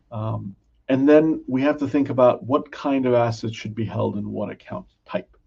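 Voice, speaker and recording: The man's voice sits at a medium pitch with ordinary pitch variation. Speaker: financial advisor presenting a webinar. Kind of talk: educational webinar. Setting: online webinar. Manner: slow, deliberate.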